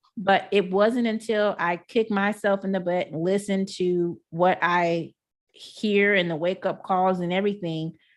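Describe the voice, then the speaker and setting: An animated voice with a Texan accent, a moderate pace and ordinary pitch variation over a quiet background. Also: woman. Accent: Texan country. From Texas, Houston. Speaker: entrepreneur, online marketer. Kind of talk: webinar presentation. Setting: live online broadcast from home.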